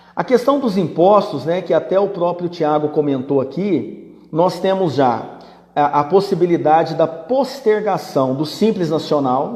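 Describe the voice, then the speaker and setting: A man at a high pitch, fairly slow in pace, with lively intonation. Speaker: business management teacher. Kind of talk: live-stream Q&A. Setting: live stream. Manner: conversational.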